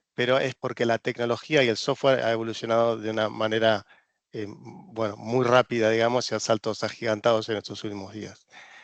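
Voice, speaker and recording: In an Argentine accent, a man at a medium pitch talks at a fairly quick pace with monotone, flat intonation, recorded dry and close with no echo against a quiet background. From Argentina. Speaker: regulatory consultant. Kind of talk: presentation. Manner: hesitant, many fillers.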